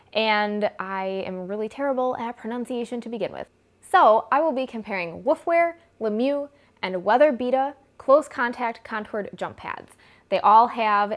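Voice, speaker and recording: With an American accent, a woman speaks in a fairly high pitch, her intonation lively and her loudness swinging widely. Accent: Midwestern accent, per others. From US Midwest. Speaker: equestrian vlogger. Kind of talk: product comparison vlog. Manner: casual, chatty.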